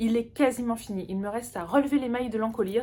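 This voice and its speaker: Her pitch is fairly high, with ordinary variation. This woman speaks at a fairly quick pace. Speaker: knitting podcaster. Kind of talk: casual chat. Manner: halting.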